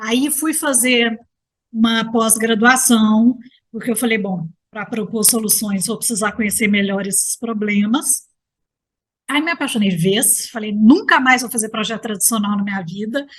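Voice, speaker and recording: A woman's fairly high, somewhat breathy voice in a Minas Gerais accent, moderate in pace with ordinary pitch variation, over a quiet background. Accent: Mineiro Brazilian Portuguese. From Minas Gerais, Brazil. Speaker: architect and gerontologist. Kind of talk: interview conversation.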